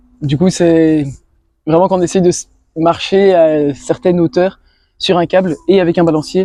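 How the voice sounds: A man with a fairly high voice speaks at a moderate pace. His tone is dark and mellow, with fairly even intonation.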